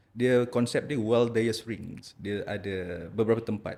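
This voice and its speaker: A man speaks at a fairly slow pace, his fairly low voice held in a fairly even intonation. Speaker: ENT specialist doctor. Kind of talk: podcast interview. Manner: halting, repeats words.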